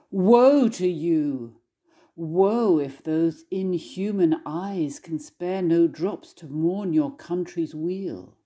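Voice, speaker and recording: Speaking very slowly, a woman with a dark, mellow tone shows big swings in loudness. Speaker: scholar reading poem. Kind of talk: poem performed, dramatic reading aloud of an English translation of a French war poem. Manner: scholarly, formal introduction before the reading.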